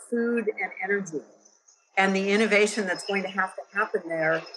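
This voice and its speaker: The speaker has an American accent. The pace is moderate and the intonation fairly even. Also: woman. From US West Coast, San Francisco Bay Area. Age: 60s. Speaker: venture investor and entrepreneur. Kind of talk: podcast interview.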